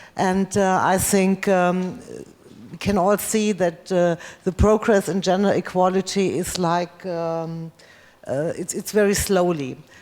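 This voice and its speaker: A woman of medium pitch speaks fairly slowly in a flat monotone with a German accent. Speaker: politician. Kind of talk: panel speech. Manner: halting.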